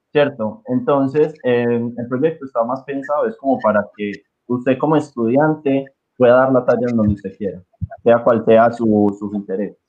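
A man with an unremarkable speaking voice talks at a moderate pace. His pitch is medium, with ordinary variation. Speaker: music teacher and marching band organizer. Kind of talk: casual chat.

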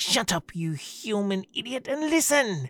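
A shrill, put-on character voice at a fairly slow pace, full of very wide pitch swings. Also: woman. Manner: harsh, urgent.

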